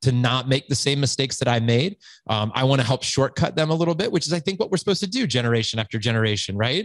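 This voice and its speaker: A man's medium-pitched, animated voice at a very fast pace, with lively intonation and a dry, close sound with no echo. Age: 40s. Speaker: founder of a fathers' community, podcast guest. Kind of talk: podcast interview.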